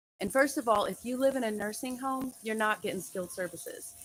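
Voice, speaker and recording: A woman with an American accent, a plain, everyday voice, ordinary pitch variation and a fairly quick pace. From United States. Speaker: registered nurse. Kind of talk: educational live stream talk to camera. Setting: live stream over poor connection. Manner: casual, conversational.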